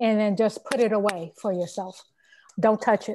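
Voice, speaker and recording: A woman's fairly high voice with an American accent, over a quiet background. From Chicago South Side, US. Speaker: guest. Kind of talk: casual chat.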